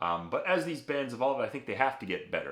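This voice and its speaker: A man with an American accent speaks in a normal speaking voice. His pace is fairly quick and his intonation lively. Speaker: music reaction youtuber. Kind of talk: casual video commentary. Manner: rambling, many fillers and false starts.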